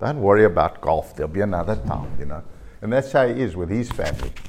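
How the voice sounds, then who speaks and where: Vocal fry runs through this man's voice. He moves along at a fairly quick pace. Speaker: golf course design company chairman. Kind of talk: interview storytelling.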